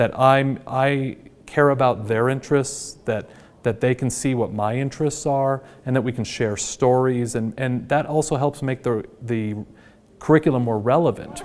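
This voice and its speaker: A man with an American accent, medium pitch, fairly even intonation, a moderate pace and an unremarkable speaking voice. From Washington state, US. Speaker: high school teacher. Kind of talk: interview; classroom lecture.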